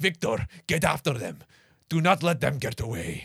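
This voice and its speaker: A man performs a put-on character voice, fairly high in pitch with very wide pitch swings. He keeps to a moderate pace. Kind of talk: terse, urgent. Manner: barking orders, commanding.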